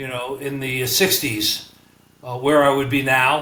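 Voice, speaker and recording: In a New York accent, a man speaks fairly slowly at a fairly high pitch, with audible room echo and noticeable background noise. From New York (Bronx, Manhattan, Long Island). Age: 70s. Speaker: retired businessman. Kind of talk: podcast interview. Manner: hesitant, many fillers.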